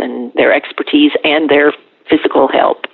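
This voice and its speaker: With an American accent, the speaker talks at a moderate speed as noticeable noise runs underneath. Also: woman. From Ohio. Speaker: community garden volunteer coordinator. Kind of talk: interview.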